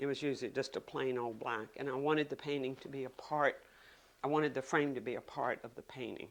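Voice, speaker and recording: Talking very fast in a Virginia accent, a woman uses a very deep, low voice with flat, monotone intonation. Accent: Virginia Southern American. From US South, Virginia (Richmond). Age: 70s. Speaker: painter. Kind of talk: interview monologue. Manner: halting.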